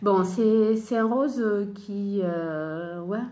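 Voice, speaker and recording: Lively intonation from a woman with a dark, mellow tone, plus audible room echo. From Italy. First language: Italian (speaking French). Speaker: sewing and knitting podcaster. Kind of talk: casual chat. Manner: hesitant, many fillers.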